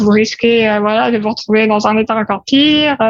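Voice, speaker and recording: A woman talks at a fairly high pitch. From France, Paris. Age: 30s. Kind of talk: interview. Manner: hesitant with fillers.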